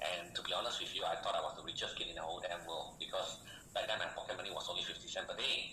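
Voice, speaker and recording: The man's speech runs at a very fast pace. There is noticeable background noise along with audible room echo. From Malaysia. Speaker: online business coach. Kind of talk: sales pitch. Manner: animated.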